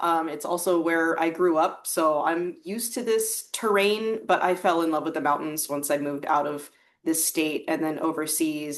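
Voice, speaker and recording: Speaking in a fairly low pitch, a woman talks with an American accent. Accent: American, noticeable to British hosts. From US Midwest. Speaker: guest, writer. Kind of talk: casual interview.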